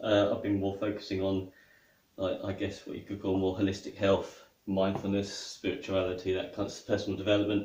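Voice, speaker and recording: A man's fairly low, somewhat breathy voice with a British accent. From England. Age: 40s. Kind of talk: casual talk to camera. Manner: hesitant, conversational.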